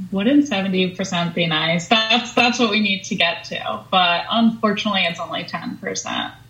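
Against noticeable background noise, a woman with an American accent speaks at a moderate pace. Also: medium pitch for a woman, ordinary pitch variation. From Long Island, New York. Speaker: sustainability professional at a robotics startup. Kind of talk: interview.

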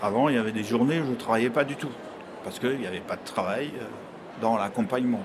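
A man at a medium pitch, very fast pace with long, frequent pauses, ordinary pitch variation, noticeable background noise and audible room echo. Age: 60s. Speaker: driver and escort for people with reduced mobility. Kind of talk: testimony. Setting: trade fair. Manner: halting, with frequent hesitations.

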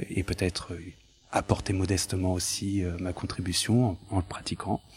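Somewhat breathy, a man talks at a fairly low pitch and a fairly slow pace. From France, of Portuguese descent. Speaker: lawyer. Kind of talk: interview. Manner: hesitant, many filler sounds.

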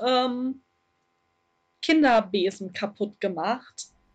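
A high-pitched woman at a very slow pace, with ordinary pitch variation. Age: 20s. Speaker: fanfiction writer. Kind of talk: casual chat. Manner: hesitant, many fillers. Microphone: poor audio quality.

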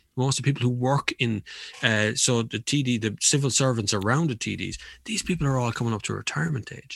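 A man with an Irish accent and a medium-pitched voice speaks at a fairly quick pace with ordinary pitch variation. The recording is very clean with a silent background, dry and close with no echo. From Ireland. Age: 40s. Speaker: motoring journalist and YouTuber. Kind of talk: casual chat.

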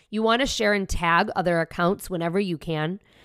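In a very clean recording with a silent background, a woman with an American accent uses a normal speaking voice at a medium pitch, a fairly quick pace and ordinary pitch variation. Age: 40s. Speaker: podcast host, entrepreneur. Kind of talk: solo podcast tutorial.

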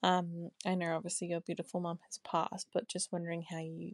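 A woman with an Australian accent speaks at a fairly low pitch. The sound is dry and close with no echo, over a quiet background. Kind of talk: recorded listener question. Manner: halting.

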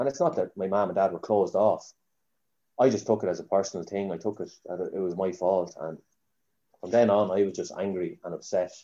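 A man with a Kildare Irish accent at a fairly quick pace, broken by long, frequent pauses, against a quiet background. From Ireland, Newbridge, County Kildare. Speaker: Gaelic footballer. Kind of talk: casual chat.

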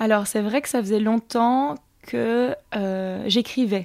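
This woman's voice sits fairly high, with ordinary pitch variation. The recording is very clean and the background silent. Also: dry, close sound with no echo. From Belgium, Charleroi area. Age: 30s. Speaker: association founder and filmmaker. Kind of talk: interview. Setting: studio. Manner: halting.

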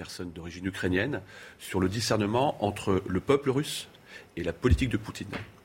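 His voice has a somewhat breathy quality. The man's pitch is fairly low. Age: 50s. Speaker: mayor. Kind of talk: casual chat. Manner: animated.

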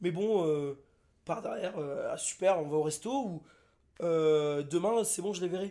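Pausing long and often at a fairly slow pace, a man talks in a high pitch with ordinary pitch variation and a dark, mellow tone. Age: 20s. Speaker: friend invited on the podcast. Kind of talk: casual chat.

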